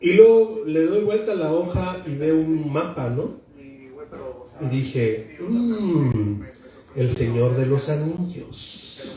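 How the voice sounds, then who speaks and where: Amid noticeable background noise and audible room echo, a man talks at a very slow pace in a fairly high pitch, with very wide pitch swings. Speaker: book presenter. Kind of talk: book presentation speech. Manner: loud.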